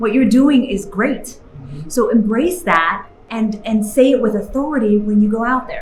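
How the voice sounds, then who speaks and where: Music in the background behind a woman's fairly high voice at a moderate pace. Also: ordinary pitch variation. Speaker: keynote speaker and TV journalist. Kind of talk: motivational keynote speech. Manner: lively, genuine; eloquent.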